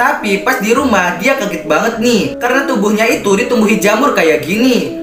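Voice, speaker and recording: A man speaks at a moderate pace. Noticeable noise sits in the background. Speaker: story narrator content creator. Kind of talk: commentary. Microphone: handheld.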